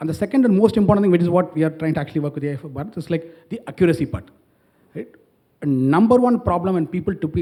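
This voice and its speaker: The man's voice is high, with a dark, mellow tone. His intonation is lively. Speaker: startup founder on a panel. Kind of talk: panel discussion. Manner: fast.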